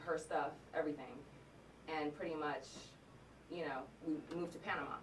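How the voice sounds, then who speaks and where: Audible room echo surrounds a woman with a very deep, low pitch and flat, monotone intonation. She talks at a fairly quick pace but leaves long, frequent pauses. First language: Korean. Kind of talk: casual podcast chat, personal story. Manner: halting, with many fillers.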